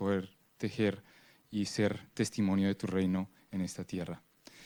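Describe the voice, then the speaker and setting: A voice with a Spanish accent on a very clean recording against a silent background. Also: man. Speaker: prayer leader at a church conference. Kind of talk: prayer.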